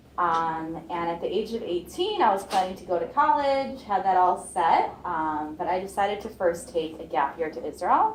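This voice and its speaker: A woman with a Midwestern accent and a medium pitch talks at a moderate pace, hardly pausing, with lively intonation and big swings in loudness. Audible room echo and noticeable background noise surround her. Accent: American Midwest. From US Midwest, Chicago. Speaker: student, Israeli army reservist panelist. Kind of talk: personal story on a panel. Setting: campus event with audience.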